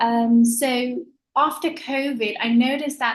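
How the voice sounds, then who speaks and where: With a Danish accent, a woman speaks at a high pitch. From Denmark. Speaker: secondhand clothing store owner. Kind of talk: panel discussion. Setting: video call.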